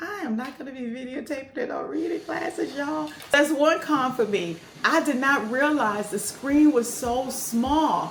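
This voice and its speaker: A woman speaks with a high pitch. Noticeable background noise and audible room echo fill the recording. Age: 60s. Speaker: retirement travel vlogger. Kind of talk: casual vlog, camera review. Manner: animated.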